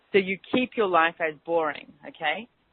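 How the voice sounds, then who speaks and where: A woman's fairly low voice with an Australian accent and ordinary pitch variation. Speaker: radio host and business mentor. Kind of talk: radio talk show with guided clearing statements. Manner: fast; animated.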